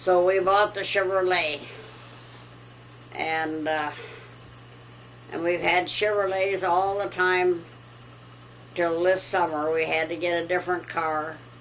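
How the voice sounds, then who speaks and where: With an American accent, a woman with a fairly low voice speaks at a fairly slow pace in a flat monotone, leaving long, frequent pauses, while the room echo is audible. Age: 90s. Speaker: elderly farm wife. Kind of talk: casual chat. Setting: at home.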